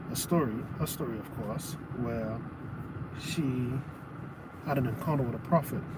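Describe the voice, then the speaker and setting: Against loud background noise, a man speaks at a moderate pace with ordinary pitch variation. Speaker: preacher or teacher. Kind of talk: sermon-style teaching to a live audience. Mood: relaxed, earnest. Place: car. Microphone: phone near.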